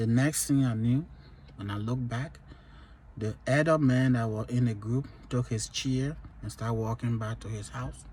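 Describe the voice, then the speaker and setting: Speaking at a moderate pace, a man leaves long, frequent pauses. His medium-pitched voice is somewhat breathy, with ordinary pitch variation. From Liberia. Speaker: vlogger sharing life stories. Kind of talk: personal testimony.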